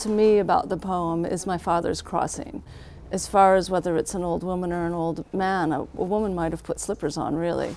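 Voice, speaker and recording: This woman uses a normal speaking voice at a moderate pace. Her medium pitch shows ordinary variation. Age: 50s. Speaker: bookstore owner. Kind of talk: casual chat.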